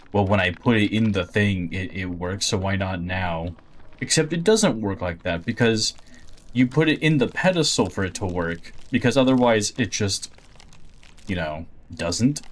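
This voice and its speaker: Mumbled speech with lively intonation. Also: man, fairly low pitch for a man, moderate pace. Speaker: video game streamer. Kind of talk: gameplay commentary. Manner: mumbling.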